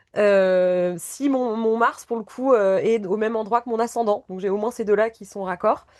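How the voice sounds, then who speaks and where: A woman's fairly high voice at a fairly slow pace, with hardly any pauses, fairly even intonation and big swings in loudness. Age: 40s. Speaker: sports coach and naturopath. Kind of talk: casual chat. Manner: impulsive.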